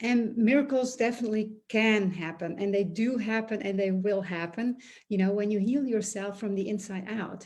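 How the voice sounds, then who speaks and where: Against a quiet background, a woman talks in a somewhat breathy voice with fairly even intonation. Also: moderate pace. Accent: non-native. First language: not English. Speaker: energy healer and business coach. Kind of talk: monologue video talk. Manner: hesitant, many fillers.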